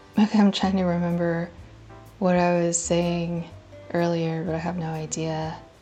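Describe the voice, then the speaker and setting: With music in the background and audible room echo, a woman speaks at a fairly low pitch in a monotone, flat delivery. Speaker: tutorial creator. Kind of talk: tutorial. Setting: voiceover recorded after filming. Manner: slow.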